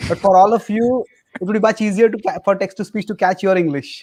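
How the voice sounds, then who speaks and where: A man with an Indian accent, high in pitch, at a fairly quick pace with long, frequent pauses, fairly even intonation, and a dry, close sound with no echo. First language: not English. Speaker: spiritual teacher. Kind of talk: podcast interview.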